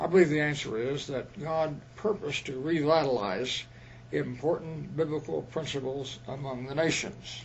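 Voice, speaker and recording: A man speaks at a moderate pace with a fairly high pitch. His voice is somewhat breathy, with ordinary pitch variation. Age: 90s. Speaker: retired missionary. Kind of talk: interview.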